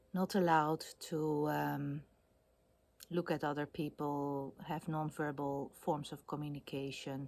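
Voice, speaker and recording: Speaking at a fairly slow pace, a woman with a Dutch accent uses a very deep, low pitch and monotone, flat intonation. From Netherlands. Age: 50s. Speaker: video blogger. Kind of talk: casual monologue. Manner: hesitant, many fillers.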